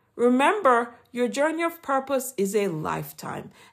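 A moderate pace with very wide pitch swings, in a very clean recording with a silent background. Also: woman. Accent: Jamaican. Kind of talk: inspirational devotional talk. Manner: formal, earnest, encouraging.

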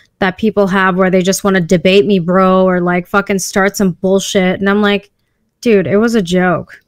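A woman with a plain, everyday voice and medium pitch speaks at a moderate pace. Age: 30s. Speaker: podcast guest. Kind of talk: casual chat. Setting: video call.

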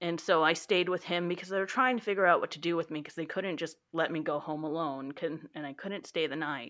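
An American-accented woman speaks in a plain, everyday voice, fairly low pitched, at a fairly quick pace with ordinary pitch variation and hardly any pauses, against a quiet background. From Texas. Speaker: library worker. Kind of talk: personal testimony.

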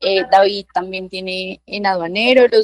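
A woman of medium pitch with an unremarkable speaking voice, ordinary pitch variation and a fairly slow pace, in a dry, close sound with no echo. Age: 20s. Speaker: lawyer. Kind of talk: interview.

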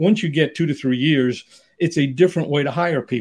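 Talking fairly quickly, a man keeps his pitch fairly high. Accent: New York. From New York City area. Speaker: executive recruiter. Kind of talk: interview.

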